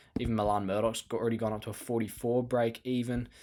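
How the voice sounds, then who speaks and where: In a very clean recording with a silent background, a man with an Australian accent talks at a medium pitch and a fairly quick pace. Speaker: fantasy sports podcast host. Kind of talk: solo podcast talk. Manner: fast.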